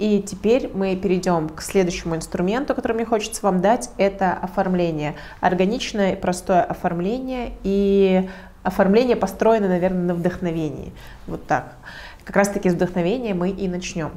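With audible room echo, a woman talks at a moderate pace and medium pitch, her pitch varying in an ordinary way. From Russia, Protvino (Moscow region). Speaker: digital marketer and community organizer. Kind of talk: lecture.

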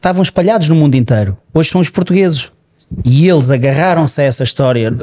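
A man with a plain, everyday voice, a fairly high pitch, ordinary pitch variation and a fairly quick pace. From Portugal. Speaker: podcast co-host. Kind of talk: casual chat.

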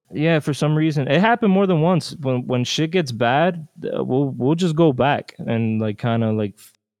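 A man speaks at a moderate pace with an American accent, in an ordinary speaking voice with ordinary pitch variation. The sound is dry and close with no echo, over a quiet background. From New Jersey / New York and Dominican Republic. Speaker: musician. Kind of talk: interview.

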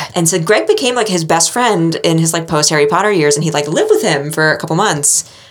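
Through noticeable background noise, a woman in an American accent talks at a fairly quick pace, her fairly low pitch showing ordinary pitch variation. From New England, US. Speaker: podcast host. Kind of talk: casual chat.

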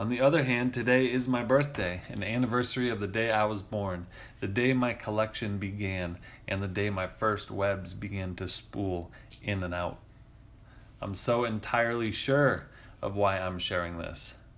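In a room with audible echo, a man speaks at a moderate pace with a fairly low pitch and ordinary pitch variation. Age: 30s. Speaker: podcast host, writer. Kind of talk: reading aloud of own essay.

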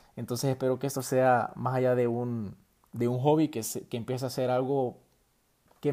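A man with a Salvadoran accent talks at a fairly quick pace and a medium pitch. His tone is dark and mellow, on a very clean recording with a silent background. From El Salvador. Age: 20s. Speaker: university student podcaster. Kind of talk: solo podcast monologue. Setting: at home late at night. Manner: hesitant, many fillers.

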